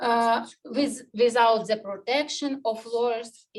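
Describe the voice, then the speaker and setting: A woman's fairly high voice in a Ukrainian accent, with fairly even intonation at a very slow pace. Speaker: human rights activist. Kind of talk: panel presentation. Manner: halting.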